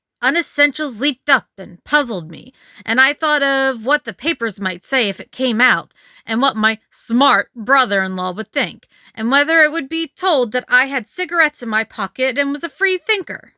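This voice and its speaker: Over a silent background in a very clean recording, a female-sounding, put-on character voice speaks at a high pitch and moderate pace. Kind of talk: Edwardian ghost story reading. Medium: read story.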